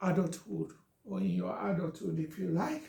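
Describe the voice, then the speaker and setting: Speaking with a Nigerian accent, a man has a dark, mellow tone and a gentle tone. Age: 50s. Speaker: social media talk host. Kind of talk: live stream monologue. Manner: slow.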